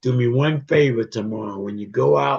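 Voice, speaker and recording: A man speaks at medium pitch with very wide pitch swings. His voice is somewhat breathy. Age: 70s. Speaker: regular participant of a men's fellowship group. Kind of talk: closing remarks in a group video call. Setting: video call.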